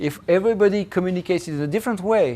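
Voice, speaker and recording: A man speaks at a high pitch with lively intonation. He has a French accent. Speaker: professor. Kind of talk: lecture; Q&A answer. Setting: seminar with audience. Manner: halting.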